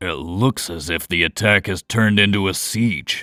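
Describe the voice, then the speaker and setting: This man uses a put-on character voice, growling at a moderate pace with a fairly low pitch. The sound is dry and close with no echo, and the recording is very clean with a silent background. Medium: read story. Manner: dry, understated.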